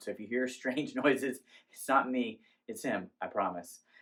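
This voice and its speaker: A man speaks at a medium pitch. The pace is moderate. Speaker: candle reviewer. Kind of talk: product review.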